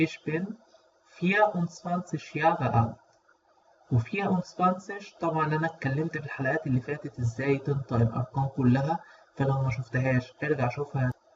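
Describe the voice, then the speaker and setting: A man with an ordinary speaking voice, fairly high in pitch, with ordinary pitch variation, at a moderate pace. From Egypt. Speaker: language teacher. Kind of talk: tutorial.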